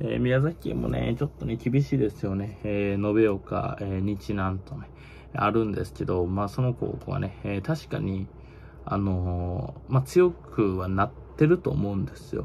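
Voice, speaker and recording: With a Kansai accent, a man speaks at a fairly slow pace and a fairly low pitch. His pitch swings very widely, over light background noise. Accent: Kansai (Osaka) dialect. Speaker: baseball YouTuber. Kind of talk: casual monologue commentary. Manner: casual, filler-heavy, opinionated. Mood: tired, opinionated, blunt. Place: home room. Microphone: phone near.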